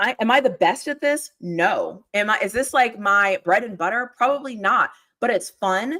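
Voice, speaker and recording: With an American accent, a woman speaks at a moderate pace in a bright, sharp, animated tone. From Texas. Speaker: sports YouTuber, livestream host. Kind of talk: casual livestream talk, motivational aside. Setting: live stream, home studio.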